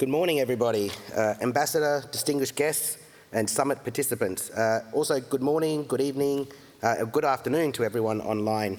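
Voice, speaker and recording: A man with an Australian accent talks at a fairly quick pace, with ordinary pitch variation and very even loudness. Noticeable background noise runs underneath. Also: medium pitch for a man. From Australia, Melbourne. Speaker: geologist and climate think-tank consultant. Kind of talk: conference keynote. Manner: many fillers (uh, um).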